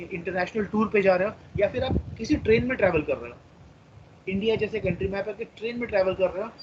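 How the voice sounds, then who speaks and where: With a Marathi accent, a man talks at a high pitch with ordinary pitch variation over noticeable background noise. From India, Maharashtra (Chandrapur). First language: Marathi (speaking Hindi). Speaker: teacher. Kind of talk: lecture.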